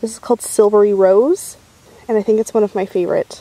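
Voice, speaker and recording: Dry and free of echo, a woman's voice moves at a fairly quick pace. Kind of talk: casual vlog chat. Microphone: phone near.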